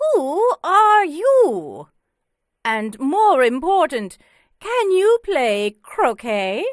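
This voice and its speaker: A shouted, put-on character voice from a woman, extremely high-pitched with very wide pitch swings, at a very slow pace, dry and close with no echo. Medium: read story. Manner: shouting, imperious.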